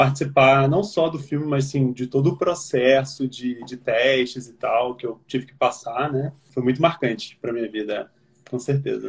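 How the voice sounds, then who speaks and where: A man's somewhat breathy, medium-pitched voice at a moderate pace, with fairly even intonation and big swings in loudness. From Brazil, Rio de Janeiro. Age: 30s. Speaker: actor. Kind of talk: interview.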